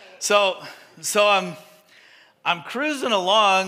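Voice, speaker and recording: In a room with audible echo, a man with a bright, sharp tone uses a raised, projected voice and ordinary pitch variation. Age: 50s. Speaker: pastor. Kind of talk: sermon. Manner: animated.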